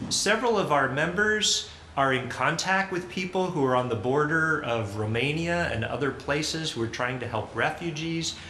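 Audible room echo surrounds the voice, with light background noise too. The speaker is a man. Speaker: pastor leading worship. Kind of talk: welcome and announcements at a service. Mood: warm, earnest. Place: church.

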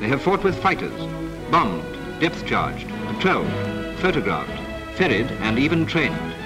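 Clear music plays behind a man who speaks at a fairly quick pace, his fairly high pitch rising and falling with lively intonation. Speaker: newsreel narrator. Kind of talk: wartime newsreel narration. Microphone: old recording.

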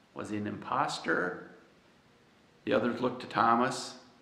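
Audible room echo follows a man as he talks at a fairly slow pace. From United States. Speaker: pastor. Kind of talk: sermon. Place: church.

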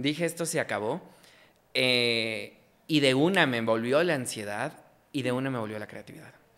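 With a bright, sharp tone, a man speaks at a moderate pace with ordinary pitch variation and long, frequent pauses. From Ecuador, Quito; Ecuador. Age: 20s. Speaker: journalist and comedy content creator; journalist, comedy content creator. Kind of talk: casual interview chat. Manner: animated. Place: studio. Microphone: studio mic.

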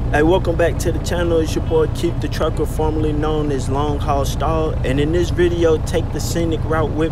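Male speech with a dry sound and no echo, set against loud background noise. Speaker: truck driver vlogger. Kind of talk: casual vlog chat. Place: car. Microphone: phone near.

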